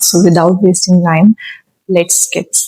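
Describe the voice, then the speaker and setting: Keeping her intonation fairly even, a woman talks at a fairly slow pace with a fairly low pitch. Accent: Indian. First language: Hindi. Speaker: vlogger learning English. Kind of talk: unscripted self-talk vlog. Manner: halting, many fillers.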